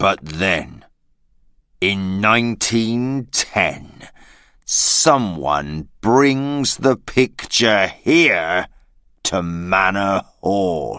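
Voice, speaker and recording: A put-on character voice at a very slow pace, on a very clean recording with a silent background. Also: man, fairly low pitch for a man. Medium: read story. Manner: simple, slow storytelling.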